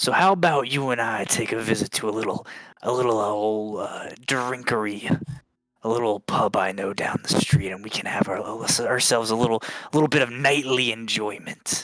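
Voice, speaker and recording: A man's put-on character voice, raspy and medium in pitch, with ordinary pitch variation at a moderate pace. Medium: actual play. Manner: overly friendly, slangy.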